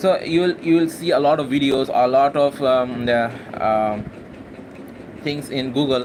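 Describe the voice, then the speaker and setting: In a Bangladeshi accent, a man with a fairly high pitch speaks with long, frequent pauses over noticeable background noise. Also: ordinary pitch variation, fairly slow pace. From Bangladesh, Khulna. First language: Bengali. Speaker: university student and English-practice vlogger. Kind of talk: casual spontaneous monologue, live session. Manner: halting, many fillers and repetitions.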